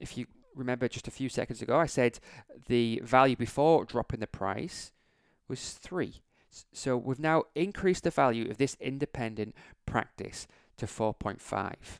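This man has an English accent and a medium pitch, talking at a moderate pace with ordinary pitch variation, long, frequent pauses and big swings in loudness. The sound is dry and close with no echo, on a very clean recording with a silent background. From England. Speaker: optometrist and practice owner, podcast host. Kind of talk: solo business podcast monologue. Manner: repetitive, hesitant with restarts.

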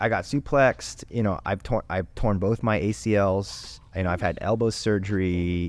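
A man's normal speaking voice, fairly low in pitch with ordinary pitch variation, at a fairly slow pace with hardly any pauses and very even loudness. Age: 30s. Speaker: jiu-jitsu instructor. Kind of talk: casual chat.

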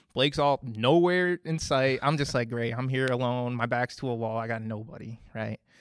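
A plain, everyday voice with an American accent. The pace is fairly quick. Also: man. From Minnesota. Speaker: church member sharing testimony. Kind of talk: testimony. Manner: casual, filler-heavy.

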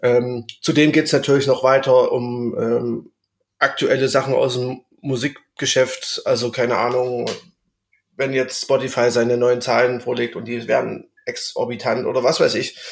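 The man's intonation is monotone and flat. His pitch sits in the medium range. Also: moderate pace. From Saxony, Erzgebirge. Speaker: music podcast co-host. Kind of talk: casual chat.

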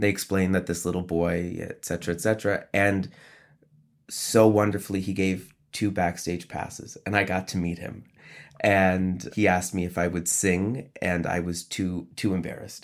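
A man speaks in a very deep, low pitch with an American accent and monotone, flat intonation. The recording is very clean with a silent background. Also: moderate pace. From upstate New York. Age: 30s. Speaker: opera conductor. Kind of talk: interview.

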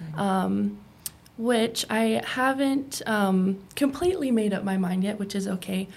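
Here a woman talks at a fairly slow pace, somewhat breathy. Her pitch is medium, with ordinary variation. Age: 20s. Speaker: former addiction treatment patient. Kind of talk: interview.

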